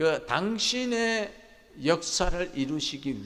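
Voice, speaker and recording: A man's fairly high voice with very wide pitch swings and audible room echo. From Gyeongsang province countryside, South Korea. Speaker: pastor. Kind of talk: sermon.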